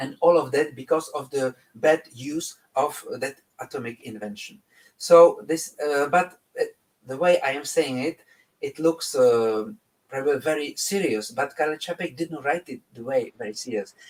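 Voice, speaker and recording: Speaking with a Czech accent at a moderate pace, a man has a fairly high pitch, ordinary pitch variation, and big swings in loudness. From Czech Republic. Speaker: composer. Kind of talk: interview. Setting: live online broadcast. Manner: halting, many fillers and restarts.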